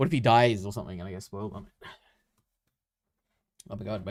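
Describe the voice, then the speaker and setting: A man puts on a hoarse, fairly low character voice at a very fast pace. His loudness swings widely. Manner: excited, exclaiming.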